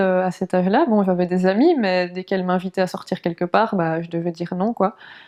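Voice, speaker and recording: With a dark, mellow tone, a woman speaks in fairly even intonation and hardly any pauses. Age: 20s. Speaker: wheelchair user; translator. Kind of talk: documentary interview answer. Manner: hesitant, many fillers.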